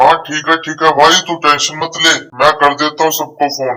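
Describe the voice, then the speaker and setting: In a cartoonish character voice, a man speaks fairly quickly at a fairly high pitch, his intonation monotone and flat. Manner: casual, joking.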